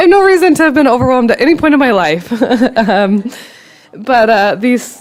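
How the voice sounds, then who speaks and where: A woman speaks in a high voice with very wide pitch swings, stopping for long, frequent pauses. Noticeable background noise runs beneath her. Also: fairly quick pace, very even loudness. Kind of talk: personal testimony at a presentation. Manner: halting, many fillers and restarts.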